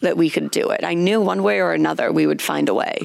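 Noticeable background noise runs under a woman who talks at a fairly quick pace. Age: 20s. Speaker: gym co-owner. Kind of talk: casual chat. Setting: gym.

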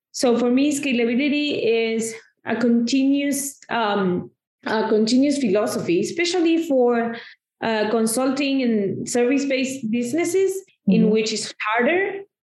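Against audible room echo, a woman speaks at a moderate pace with a high pitch and lively intonation. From Argentina. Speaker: marketing consultant. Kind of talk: interview.

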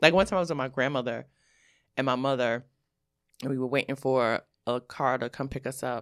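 On a very clean recording with a silent background, a woman with a very deep, low pitch speaks at a fairly quick pace with fairly even intonation and long, frequent pauses, the sound dry and close with no echo. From New York City, Brooklyn. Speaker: comedian and author. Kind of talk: casual chat.

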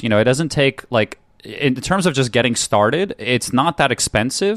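A man speaks in a normal speaking voice at medium pitch, with an American accent and a moderate pace. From New York. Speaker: entrepreneur. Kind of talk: casual interview.

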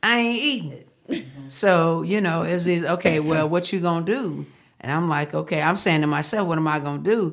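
A woman talks at a fairly quick pace with an American accent, her pitch fairly low with ordinary variation. Audible room echo surrounds her voice. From Texas, Fort Worth. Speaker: marriage counselor. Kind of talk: casual interview.

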